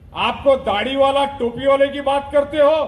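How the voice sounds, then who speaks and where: Noticeable background noise sits behind a man as he speaks. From India, Mira Bhayandar (Mumbai region). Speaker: politician. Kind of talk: election campaign speech.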